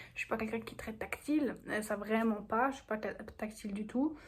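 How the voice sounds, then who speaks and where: Somewhat breathy delivery at a fairly quick pace. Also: woman. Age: 18. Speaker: vlogger. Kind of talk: casual vlog monologue.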